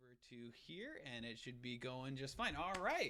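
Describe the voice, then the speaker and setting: Loud and bright with a sharp tone, a man speaks at a moderate pace. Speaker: podcast host. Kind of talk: interview. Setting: live stream.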